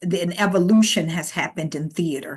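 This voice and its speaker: Her intonation lively, a woman speaks with an American accent. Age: 60s. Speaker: theatre director. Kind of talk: interview.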